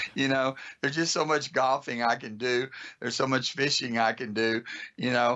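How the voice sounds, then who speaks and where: A man with an American accent, an ordinary speaking voice, medium pitch, moderate pace, and fairly even intonation. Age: 60s. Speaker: automotive school owner. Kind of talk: podcast interview.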